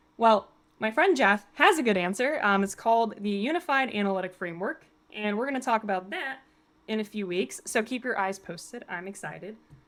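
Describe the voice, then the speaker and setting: A woman talks in an animated tone with lively intonation. Her pace is fairly quick. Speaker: automation engineer presenting software. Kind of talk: live stream tutorial. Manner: fast.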